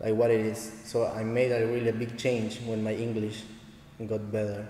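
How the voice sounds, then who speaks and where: A man with a Spanish accent talks at a moderate pace and medium pitch, his intonation monotone and flat. Audible room echo and noticeable background noise are present. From Argentina, Santa Fe. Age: 20s. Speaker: dancehall dancer and teacher. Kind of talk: casual interview. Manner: halting, limited English.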